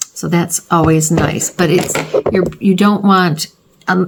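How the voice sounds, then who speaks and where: A woman speaks in a plain, everyday voice at a moderate pace. Her intonation stays fairly even. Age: 60s. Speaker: beauty vlogger. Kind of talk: makeup tutorial. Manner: casual, chatty.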